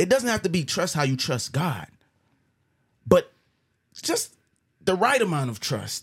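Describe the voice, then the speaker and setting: A high-pitched man's animated tone, with very wide pitch swings and a fairly slow pace broken by long, frequent pauses. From Jamaica. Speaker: podcast host. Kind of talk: casual chat.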